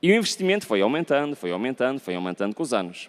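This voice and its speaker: Recorded very cleanly over a silent background, a man speaks with a European Portuguese accent. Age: 40s. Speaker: pastor. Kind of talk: sermon. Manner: conversational, frequent 'ok?' tag questions.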